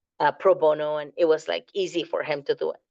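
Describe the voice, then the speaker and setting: A woman with a fairly low pitch speaks with a Spanish accent and lively intonation. The background is quiet. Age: 40s. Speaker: fundraising course instructor. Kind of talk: lecture. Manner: casual, with frequent fillers.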